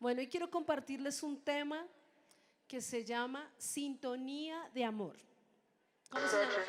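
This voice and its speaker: Over noticeable background noise, a woman speaks with a high pitch and an animated tone. Her pace is fairly slow, with ordinary pitch variation and long, frequent pauses. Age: 20s. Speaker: preacher. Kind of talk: sermon.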